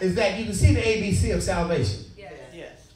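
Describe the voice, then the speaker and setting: With a room echo you can hear and some light noise behind him, the male speaker keeps a moderate pace. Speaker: pastor delivering a sermon to a congregation. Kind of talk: church sermon, preaching with call and response. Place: church. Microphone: handheld.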